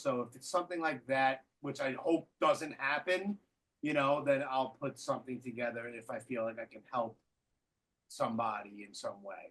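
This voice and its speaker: A man talks at a medium pitch and a moderate pace. His loudness swings widely, though his pitch varies only in an ordinary way. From Brooklyn, New York. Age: 40s. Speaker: podcast host. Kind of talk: casual chat. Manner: halting, repeats words.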